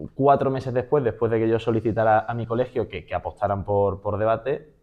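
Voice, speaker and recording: His pitch is medium and varies in an ordinary way. This man uses an unremarkable speaking voice and speaks fairly quickly. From Spain, Málaga (Andalusia). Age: 20s. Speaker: public speaking champion and trainer. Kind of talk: interview conversation.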